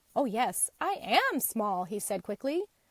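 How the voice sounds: Reading aloud, the speaker uses a natural voice.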